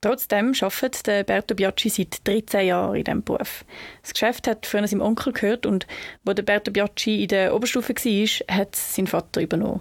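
A woman with a Swiss accent speaks fairly quickly with fairly even intonation, the sound dry and close with no echo on a very clean recording with a silent background. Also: medium pitch for a woman. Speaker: student podcast host. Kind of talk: scripted narration.

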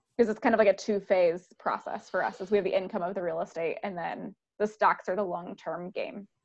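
Here is a plain, everyday voice at a fairly quick pace. Intonation stays fairly even, with hardly any pauses. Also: woman, medium pitch for a woman. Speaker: podcast host. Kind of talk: casual interview.

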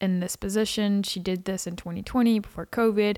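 A woman speaks at a medium pitch with a Texan accent, her intonation flat and monotone. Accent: Texan American. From Texas. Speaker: podcaster. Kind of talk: casual chat.

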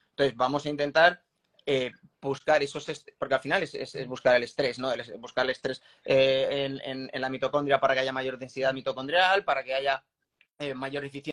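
A man's plain, everyday voice, fairly quick and fairly even in intonation, recorded dry and close with no echo. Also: medium pitch for a man. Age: 40s. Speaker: former Olympic triathlete and strength coach. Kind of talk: interview.

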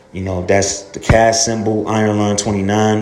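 This man speaks at a fairly low pitch in a monotone, flat intonation, with noticeable background noise and audible room echo. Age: 30s. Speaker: fitness podcaster. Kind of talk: casual monologue. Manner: halting, many fillers.

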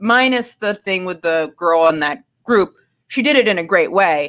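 A woman's unremarkable speaking voice at medium pitch, moderate pace and lively intonation, on a very clean recording with a silent background. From Maine, US. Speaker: comedian. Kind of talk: casual chat.

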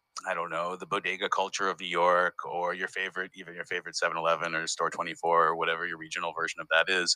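At a very fast pace with hardly any pauses, a man with a Northeastern US accent speaks at a very deep, low pitch with a bright, sharp tone and monotone, flat intonation, in a dry, close sound with no echo. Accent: US Northeast American. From US Northeast, Massachusetts. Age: 40s. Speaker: comedian and festival founder. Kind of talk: casual interview. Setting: remote recording from parents' living room.

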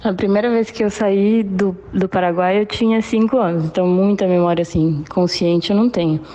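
With a plain, everyday voice, a woman talks at a medium pitch and moderate pace, her intonation fairly even, her loudness very even, and hardly any pauses. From Brazil (Foz do Iguaçu), born in Paraguay. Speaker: former exchange student. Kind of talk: recorded voice message.

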